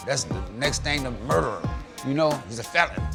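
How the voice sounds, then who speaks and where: A man at a fairly quick pace over music in the background. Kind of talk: interview answer. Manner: casual.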